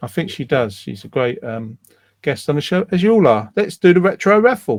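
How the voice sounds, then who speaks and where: A man with a London accent, high pitch, very wide pitch swings and a fairly quick pace. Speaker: online community show host. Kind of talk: casual chat.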